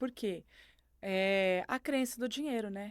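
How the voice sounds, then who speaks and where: In a normal speaking voice with ordinary pitch variation, the speaker goes at a fairly slow pace on a very clean recording with a silent background. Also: woman. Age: 50s. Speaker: podcast guest sharing faith testimony. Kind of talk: testimony.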